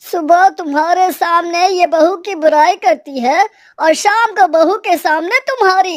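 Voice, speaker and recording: A woman puts on a cartoonish character voice, talking fairly slowly at an extremely high pitch. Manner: dry, teasing.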